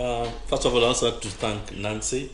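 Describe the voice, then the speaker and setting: With audible room echo, a man speaks at a moderate pace in a somewhat breathy voice with fairly even intonation. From Kenya. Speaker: pastor. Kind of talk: radio talk show with preaching. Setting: studio.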